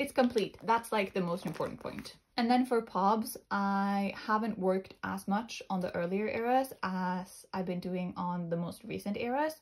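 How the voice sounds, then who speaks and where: On a very clean recording with a silent background, a woman with a somewhat breathy, medium-pitched voice speaks at a moderate pace with hardly any pauses and ordinary pitch variation. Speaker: collector video creator. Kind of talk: casual show-and-tell.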